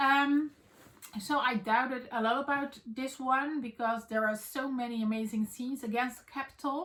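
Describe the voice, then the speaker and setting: A woman with a Dutch accent speaks at a moderate pace in a high voice. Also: fairly even intonation. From Netherlands. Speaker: book vlogger. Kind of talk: casual vlog chat. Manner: halting with many fillers.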